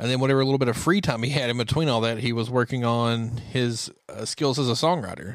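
A man speaks at a very fast pace with hardly any pauses. His pitch sits in the medium range. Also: ordinary pitch variation. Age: 30s. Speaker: country music podcast co-host. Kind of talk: casual chat.

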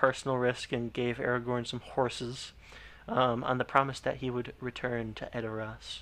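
The speaker does plain reading aloud.

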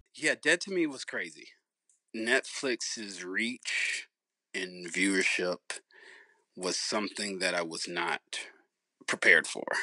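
The voice has a bright, sharp tone and ordinary pitch variation, moving at a very slow pace. Long, frequent pauses break it up, and the sound is dry and close with no echo. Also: man, fairly low pitch for a man. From Alabama, US South (Tuscaloosa). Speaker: actor. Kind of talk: casual chat.

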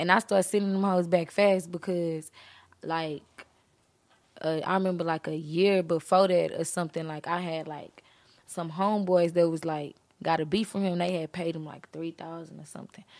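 With an American accent, the speaker keeps a monotone, flat intonation at a moderate pace while the loudness swings widely. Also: woman, fairly low pitch for a woman. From Beaumont, Texas. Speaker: rapper. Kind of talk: casual interview chat.

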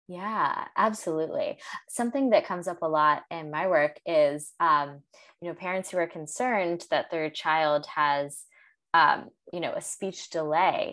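A woman speaks fairly slowly at a fairly low pitch, with ordinary pitch variation. She has an ordinary speaking voice. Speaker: podcast host and Montessori guide. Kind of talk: interview conversation.

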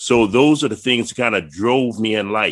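Moderate-paced, medium-pitched speech from a man in a plain, everyday voice. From Virginia, Prince George County. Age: 60s. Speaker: retired Air Force chief master sergeant. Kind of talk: casual chat.

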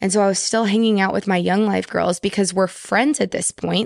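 A woman with an American accent speaks at a medium pitch and a moderate pace. Hers is an unremarkable speaking voice. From Texas, Houston. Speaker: podcast guest. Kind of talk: casual chat.

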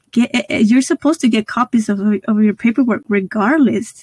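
This woman's voice has a dark, mellow tone and a fairly high pitch, with ordinary pitch variation. She talks at a moderate pace, and the sound is dry and close with no echo. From Guanajuato, Mexico. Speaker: podcast host. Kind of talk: interview, casual chat.

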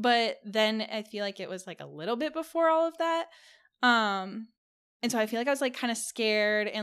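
Speaking at a fairly quick pace with lively intonation, a woman with an American accent uses a normal speaking voice, fairly high in pitch, on a very clean recording with a silent background. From California. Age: 20s. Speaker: OnlyFans creator and model. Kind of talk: casual chat.

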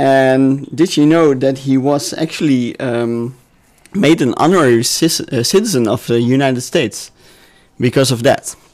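A man with a European accent speaks at a moderate pace, leaving long, frequent pauses. His pitch is fairly high and his loudness very even. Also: ordinary pitch variation. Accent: noticeable European. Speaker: podcast guest presenting history. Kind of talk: casual chat. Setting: studio with several people. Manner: hesitant with fillers.

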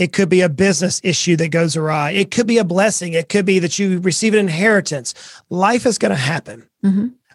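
With a Southern US accent, the speaker goes at a fairly quick pace and shows ordinary pitch variation. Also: man, high pitch for a man. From US South, coastal Georgia. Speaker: financial advisor and author. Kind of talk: podcast interview.

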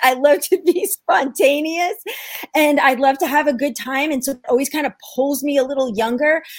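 A woman speaks in a New York accent at a moderate pace. Her pitch is high. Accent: New York American. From New York, US. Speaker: ministry founder and mother. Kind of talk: casual interview conversation.

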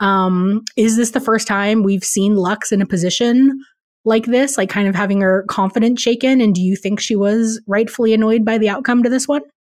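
Fairly high in pitch, a woman talks at a moderate pace in a plain, everyday voice, with fairly even intonation and very even loudness. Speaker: podcast co-host, news director. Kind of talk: casual chat.

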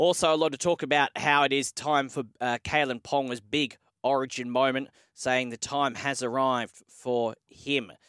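A man with an Australian accent speaks at a medium pitch and moderate pace, his intonation fairly even. The sound is dry and close with no echo, on a very clean recording with a silent background. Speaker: sports radio host. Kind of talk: morning sports news show.

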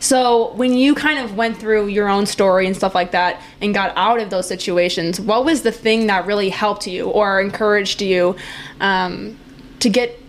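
Speaking at a moderate pace with an American accent, a woman is heard over noticeable background noise. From Wisconsin. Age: 20s. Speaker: podcast host. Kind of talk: casual interview. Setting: apartment. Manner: animated.

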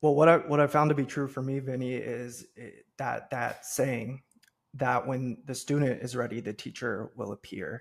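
Speaking with a Midwestern American accent, a man keeps a medium pitch and a moderate pace. His intonation stays fairly even, though his loudness swings widely. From US Midwest, Cincinnati, Ohio. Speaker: entrepreneur and podcast host. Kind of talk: interview.

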